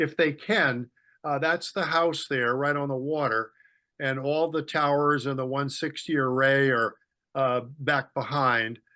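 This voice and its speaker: Against a quiet background, a man with a bright, sharp tone speaks at a fairly slow pace and fairly high pitch, his intonation fairly even. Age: 70s. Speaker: amateur radio operator and author. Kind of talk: club presentation. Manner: halting, many fillers.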